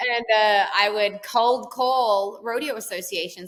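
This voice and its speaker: The voice belongs to a woman with a fairly high pitch. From Australia. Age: 30s. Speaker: country singer and entrepreneur. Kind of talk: podcast interview.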